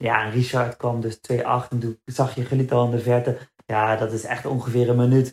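A somewhat breathy man speaks at a moderate pace in a monotone, flat intonation. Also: medium pitch for a man. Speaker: marathon runner. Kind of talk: casual chat.

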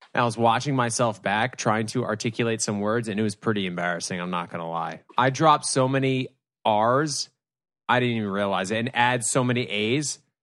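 With a normal speaking voice, a man talks at medium pitch with ordinary pitch variation and a fairly quick pace over a quiet background. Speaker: guest co-host. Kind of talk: casual chat.

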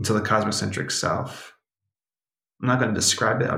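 A man talks at a fairly quick pace with lively intonation. His tone is bright and sharp, with vocal fry. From New York and Brazil. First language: Portuguese. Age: 30s. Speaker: author and meditation facilitator. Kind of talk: interview conversation with guided meditation.

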